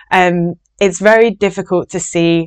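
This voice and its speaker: A woman's fairly low voice with fairly even intonation, over a quiet background. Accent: Yorkshire. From Yorkshire, northern England. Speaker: binge eating recovery coach. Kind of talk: podcast monologue.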